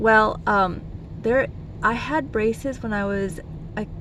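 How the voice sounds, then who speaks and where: Noticeable background noise and audible room echo accompany speech delivered fairly slowly. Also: woman. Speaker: vlogger, physician. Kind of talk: casual vlog talk. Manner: hesitant, many fillers.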